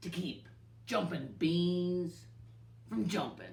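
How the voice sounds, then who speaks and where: Growling and gruff, a put-on character voice at a middle pitch drawls at a very slow pace in a Western US accent over clear background noise. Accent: Western drawl. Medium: read story. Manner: growling, gruff.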